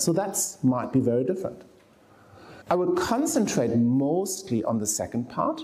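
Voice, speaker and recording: A man with a German accent and a fairly high pitch speaks at a moderate pace, with audible room echo. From Germany. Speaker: professor of medicine. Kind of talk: lecture. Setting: lecture hall with audience. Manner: animated.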